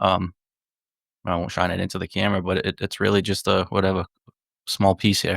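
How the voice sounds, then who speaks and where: In a very clean recording with a silent background and a dry, close sound with no echo, a man with a Northeastern US accent speaks in a very deep, low, monotone, flat voice, leaving long, frequent pauses. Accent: Northeast US. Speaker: psychedelics advocate and author. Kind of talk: casual podcast conversation. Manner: halting, many repetitions.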